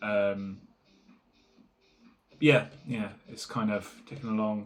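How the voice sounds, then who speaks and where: At a very slow pace, a man speaks with a fairly low pitch and fairly even intonation. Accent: English. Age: 30s. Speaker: small business owner vlogger. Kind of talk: casual vlog monologue. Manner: halting, many fillers.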